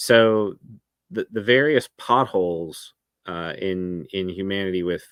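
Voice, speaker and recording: The voice carries a Tennessee accent with ordinary pitch variation. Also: man, dry, close sound with no echo, very clean recording, silent background. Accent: Southern American (Tennessee). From US South, Memphis, Tennessee. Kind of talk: podcast interview.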